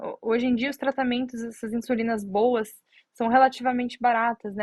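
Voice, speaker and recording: A woman is speaking. Her voice is fairly high. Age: 30s. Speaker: diabetes content creator. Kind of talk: live stream Q&A. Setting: Instagram live stream. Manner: halting, many fillers. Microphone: connection problems, stream lagging.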